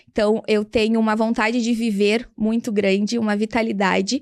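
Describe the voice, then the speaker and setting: On a very clean recording with a silent background, a woman speaks slowly-ish, at a fairly slow pace, in a plain, everyday voice with a fairly high pitch. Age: 30s. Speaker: English teacher and entrepreneur. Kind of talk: interview.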